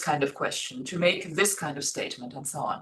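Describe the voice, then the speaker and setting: Her pitch swinging very widely, a woman speaks with a German accent. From Germany. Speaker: Sanskrit scholar and teacher. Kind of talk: interview conversation. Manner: hesitant, many fillers.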